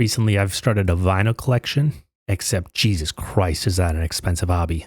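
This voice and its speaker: Quiet and somewhat breathy, the voice moves at a fairly quick pace with lively intonation on a very clean recording with a silent background. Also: man. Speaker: gaming youtuber. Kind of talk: personal vlog monologue. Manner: quiet, stuttering; halting.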